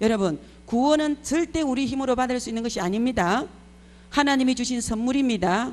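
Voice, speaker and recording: An animated tone comes through at a fairly quick pace. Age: 60s. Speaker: preacher. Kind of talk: sermon.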